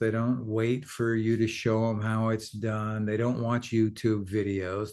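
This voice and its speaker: A man's medium-pitched voice at a very slow pace against a quiet background. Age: 60s. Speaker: actor and writer, former journalist. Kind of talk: interview. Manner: halting.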